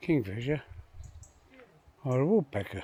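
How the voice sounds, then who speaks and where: A man speaks with a Yorkshire accent. His pace is fairly slow. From Yorkshire, England. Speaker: retired pensioner vlogger. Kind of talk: casual talk to camera. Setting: outdoors.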